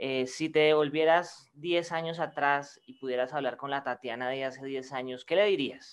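A man talks in a normal speaking voice at a moderate pace. The background is quiet. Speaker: podcast co-host. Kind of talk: casual interview.

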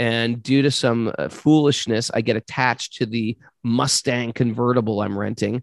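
An American accent at a moderate pace, with a dry, close sound with no echo and a quiet background. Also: man. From US, New York City. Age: 50s. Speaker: yoga teacher. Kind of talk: interview.

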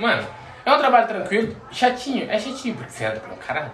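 Audible room echo and noticeable background noise surround this recording. A man speaks with an extremely high pitch and lively intonation. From Goiânia, Brazil. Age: 20s. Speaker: immigrant. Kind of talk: casual chat.

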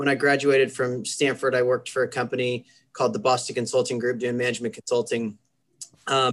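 Speaking in a Midwestern accent, a man of medium pitch talks at a fairly quick pace with monotone, flat intonation. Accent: General American (Midwest). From US Midwest, Kansas. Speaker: university athletics administrator. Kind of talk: interview.

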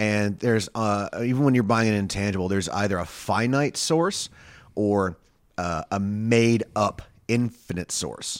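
A man speaks at a moderate pace with fairly low pitch and a plain, everyday voice. The recording is very clean, with a silent background. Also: ordinary pitch variation. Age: 40s. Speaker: stand-up comedian. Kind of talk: casual chat.

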